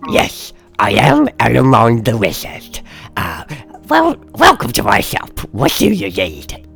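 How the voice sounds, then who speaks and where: A put-on character voice over clear background music. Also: man, medium pitch for a man, fairly slow pace. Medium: actual play. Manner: rambling, chuckling, theatrical.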